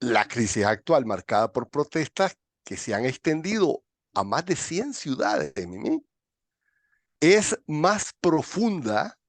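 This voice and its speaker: Against a quiet background, with a dry, close sound and no echo, a man speaks at a very slow pace with a fairly high pitch, vocal fry and very wide pitch swings. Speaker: political commentator. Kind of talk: political discussion.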